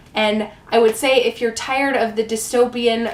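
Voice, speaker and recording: Through noticeable background noise, a woman speaks at a moderate pace in a fairly high pitch. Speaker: book reviewer. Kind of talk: casual book review to camera.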